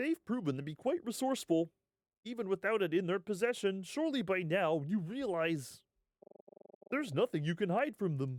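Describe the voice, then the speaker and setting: Using a put-on character voice, a man speaks at a high pitch with very wide pitch swings, in a dry, close sound with no echo. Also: moderate pace. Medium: game stream. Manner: measured, authoritative.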